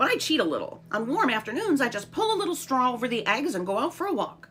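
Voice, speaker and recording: A female-sounding, put-on character voice races at a very fast pace, high in pitch and swinging very widely in pitch. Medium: read story. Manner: repeats words, chuckling.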